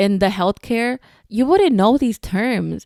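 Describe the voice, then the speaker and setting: Speaking at a moderate pace with a non-native accent, a woman is heard in a very clean recording with a silent background and a dry, close sound with no echo. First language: Spanish. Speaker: podcast host, spinal cord injury survivor. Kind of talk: casual podcast talk. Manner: casual, many fillers.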